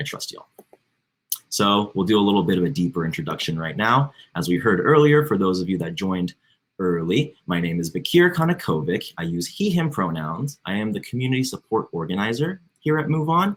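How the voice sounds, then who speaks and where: Talking at a fairly quick pace, a man with a fairly low pitch makes very wide pitch swings. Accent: American. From Florida, St. Petersburg. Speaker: community organizer. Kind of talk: housekeeping announcements.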